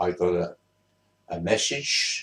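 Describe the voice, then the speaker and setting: A man speaks with a London accent. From southeast London, England. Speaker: vlogger. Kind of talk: casual storytelling. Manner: halting.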